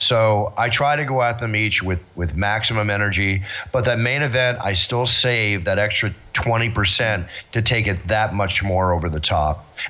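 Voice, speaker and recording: In an American accent, a man with an ordinary speaking voice talks at a moderate pace with a fairly low pitch, ordinary pitch variation and very even loudness. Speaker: ring announcer. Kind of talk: interview answer.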